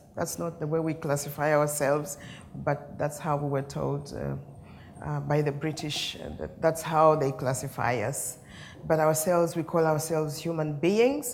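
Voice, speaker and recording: A woman with a very deep, low pitch speaks at a moderate pace, with vocal fry. Her intonation is fairly even, and the room echo is audible. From Uganda. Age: 60s. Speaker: peace mediator. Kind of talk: keynote speech. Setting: conference stage with audience. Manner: storytelling, conversational.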